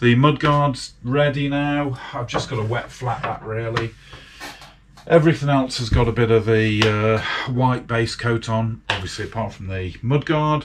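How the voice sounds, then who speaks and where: Against noticeable background noise, a man talks at a fairly slow pace at medium pitch with ordinary pitch variation. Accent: British. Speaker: motorcycle restoration hobbyist. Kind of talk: casual workshop vlog. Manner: chatty with fillers.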